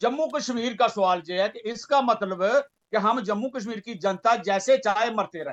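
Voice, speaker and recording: A man talks at a moderate pace in a high voice, with ordinary pitch variation. The background is quiet. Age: 70s. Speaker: panel guest, veteran activist. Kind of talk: heated TV panel debate. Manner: insistent, interrupting.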